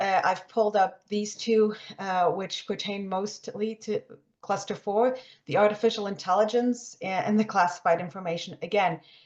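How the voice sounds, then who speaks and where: A woman's medium pitch holds a fairly even intonation. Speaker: research funding advisor. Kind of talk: webinar presentation. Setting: online webinar. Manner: fast; many fillers and restarts.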